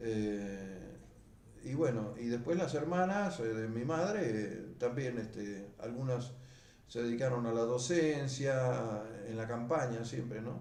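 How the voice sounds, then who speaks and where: Amid noticeable background noise and audible room echo, a man speaks very slowly at a medium pitch with ordinary pitch variation. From Argentina, Buenos Aires province (Mar del Plata area). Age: 70s. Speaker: beekeeper. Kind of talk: oral history interview. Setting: at home. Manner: hesitant, many fillers and repetitions.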